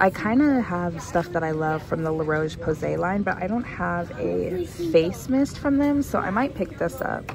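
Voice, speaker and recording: Clear music sits in the background as a woman speaks with a fairly low pitch. Her moderate pace has hardly any pauses. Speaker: shopper vlogger. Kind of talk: casual vlog chat. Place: shop.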